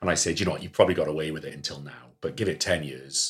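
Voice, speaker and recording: A man with a Welsh accent talks at a very fast pace. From Wales, Cardiff. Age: 30s. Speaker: general practitioner. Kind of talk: casual chat.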